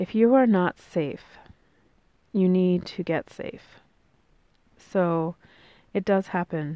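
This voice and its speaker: A woman talks at a medium pitch and a very slow pace, her pitch varying in an ordinary way. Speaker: podcast host, spiritual encourager. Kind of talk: motivational monologue. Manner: casual, many filler ums.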